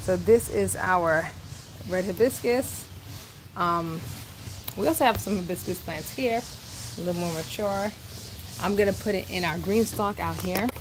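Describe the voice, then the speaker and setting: A woman at medium pitch and a moderate pace, with noticeable background noise. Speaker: gardening channel host. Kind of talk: casual livestream garden tutorial. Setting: outdoors garden with thunder.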